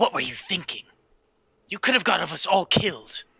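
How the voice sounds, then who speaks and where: A raspy, put-on character voice sits at a middle pitch. It moves at a moderate pace. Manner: curt, condescending, defensive.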